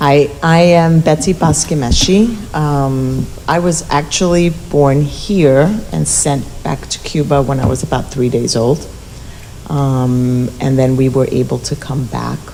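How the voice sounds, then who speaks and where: A woman with an American accent, very deep and low in pitch, at a fairly slow pace over noticeable background noise. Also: ordinary pitch variation. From New York City. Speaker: parent community specialist. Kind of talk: panel introduction.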